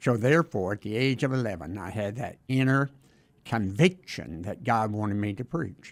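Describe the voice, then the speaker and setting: A voice with a Southern US accent moves at a moderate pace with lively intonation. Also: man, fairly low pitch for a man. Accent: Southern American. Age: 70s. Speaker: retired Baptist minister. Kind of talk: interview testimony. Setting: studio.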